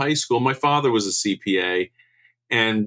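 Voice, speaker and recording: Against a quiet background, a man with a New York State accent speaks in a bright, sharp tone with ordinary pitch variation. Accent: New York State American. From US Northeast (Albany, New York). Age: 60s. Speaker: accountant. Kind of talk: podcast interview. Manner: halting.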